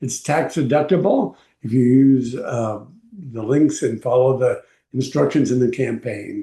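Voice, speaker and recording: A man's dark, mellow voice at medium pitch, somewhat breathy, with ordinary pitch variation and a fairly slow pace. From Texas, El Paso. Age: 80s+. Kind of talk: personal video blog. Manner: halting, with frequent fillers.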